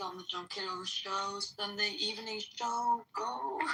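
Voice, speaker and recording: A woman's voice with music in the background. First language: not English. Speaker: co-host. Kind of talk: casual livestream chat.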